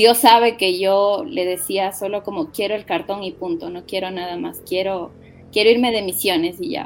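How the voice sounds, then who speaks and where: A woman at a moderate pace and medium pitch, a plain, everyday voice with ordinary pitch variation and big swings in loudness. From Ecuador, Quito. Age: 30s. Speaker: missionary. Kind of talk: interview.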